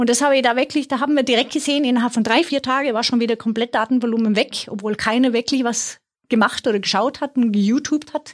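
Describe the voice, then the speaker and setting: Very fast and with hardly any pauses, a woman speaks in a Swedish accent at a high pitch. Her loudness stays very even and her intonation fairly even. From Sweden. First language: Swedish (speaking German). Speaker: IT executive. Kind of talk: interview. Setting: studio.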